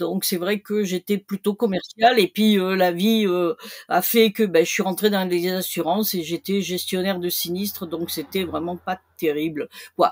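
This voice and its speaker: A woman with a normal speaking voice talks at a fairly slow pace with fairly even intonation, in a dry, close sound with no echo. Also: medium pitch for a woman. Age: 60s. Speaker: retired e-commerce seller. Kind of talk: interview. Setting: podcast.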